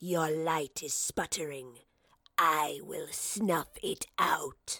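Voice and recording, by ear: A woman's put-on character voice, low-pitched with vocal fry, a slightly husky edge and a bright, sharp tone, at a very slow pace with fairly even intonation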